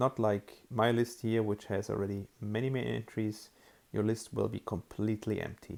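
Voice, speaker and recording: The speaker uses a moderate pace and talks with a German accent. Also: man. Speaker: app developer. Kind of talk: tutorial. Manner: hesitant, many fillers.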